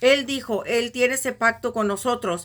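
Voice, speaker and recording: A woman with a high voice talks very slowly, her pitch varying in a normal way. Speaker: Bible teacher. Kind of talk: religious teaching. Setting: recorded video.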